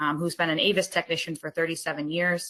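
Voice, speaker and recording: A woman with a fairly low pitch and an American accent talks over noticeable background noise. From US East Coast. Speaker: company partnerships executive. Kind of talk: business presentation. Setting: online webinar.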